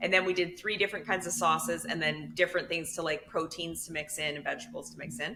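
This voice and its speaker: Talking at a very fast pace with hardly any pauses, a woman with a Canadian accent uses a fairly low pitch, a bright, sharp tone and vocal fry, her loudness swinging widely while her pitch varies in an ordinary way. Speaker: podcast co-host. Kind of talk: casual chat.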